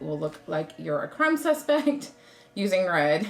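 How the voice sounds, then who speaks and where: With an American accent, a woman talks at a fairly slow pace. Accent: Southern drawl, occasional. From US South. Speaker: craft YouTuber. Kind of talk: tutorial. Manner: casual, chatty.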